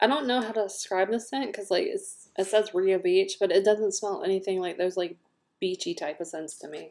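A speaker with a Southern US accent talks at a fairly quick pace. Pitch varies in an ordinary way, while loudness swings widely. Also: woman. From US South. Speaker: scent product consultant and video host; product reviewer. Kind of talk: product review; casual vlog chat. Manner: casual, filler-heavy. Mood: relaxed, frank opinions. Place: home room. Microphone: webcam.

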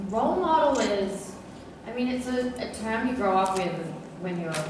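A woman speaks amid noticeable background noise. Strong room echo fills the recording. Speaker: guest. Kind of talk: interview answer. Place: hall. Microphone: pa.

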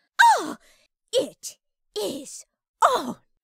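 A woman's put-on character voice at an extremely high pitch, with very wide pitch swings and a very slow pace. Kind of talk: fighting game attack shouts. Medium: solo performance. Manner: fierce, shouting, indignant.

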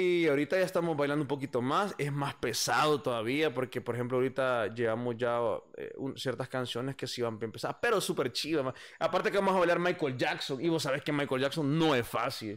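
Against a quiet background, a man with a fairly high pitch talks at a fairly quick pace with ordinary pitch variation. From El Salvador, San Salvador. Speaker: musician and bandleader; podcast guest. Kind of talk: casual interview chat. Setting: live stream. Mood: relaxed, animated storytelling. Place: home room. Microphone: studio mic.

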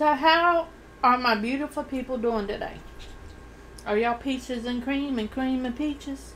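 Light background noise is audible. The delivery moves at a moderate pace with fairly even intonation. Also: woman, high pitch for a woman. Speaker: eating-show vlogger. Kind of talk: casual vlog chat. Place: home room. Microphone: studio mic.

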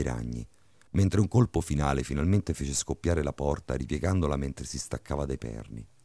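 Dramatic and menacing, a man with a dark, mellow tone and vocal fry talks at a fairly quick pace with ordinary pitch variation, on a very clean recording with a silent background. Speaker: horror story narrator. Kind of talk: creepypasta horror narration, tense bedtime ghost story reading. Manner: dramatic, suspenseful, building menace with shifts into a menacing booming villain voice.

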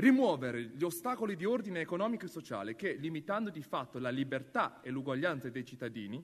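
A man rushes along at a very fast pace with hardly any pauses, his pitch swinging very widely. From China. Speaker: actor. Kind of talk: public reading of constitution article. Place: hall. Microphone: podium.

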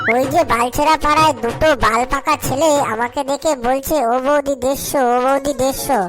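With clear music playing behind her, a woman performs a cartoonish character voice, high-pitched and at a moderate pace. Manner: bold, brash.

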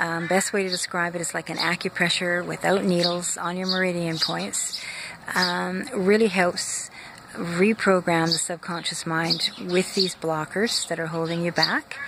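A woman speaks at a fairly slow pace, her voice dry with no echo against noticeable background noise. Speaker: wellness coach. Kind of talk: casual vlog chat promoting a coaching program. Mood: warm, friendly. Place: garden. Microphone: phone near.

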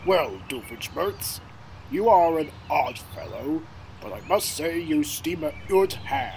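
Using a put-on character voice at a high pitch, a man speaks at a fairly slow pace over clear background noise. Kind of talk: comedic scripted dialogue. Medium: fan dub. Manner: formal, dry, skeptical. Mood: stiff grudging praise.

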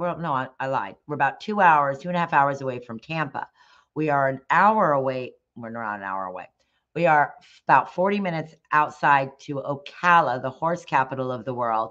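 A woman's very deep, low voice with lively intonation and big swings in loudness, at a moderate pace against a quiet background. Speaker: dog groomer and salon owner. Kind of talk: live stream presentation. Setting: live stream from home. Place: home room. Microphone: webcam.

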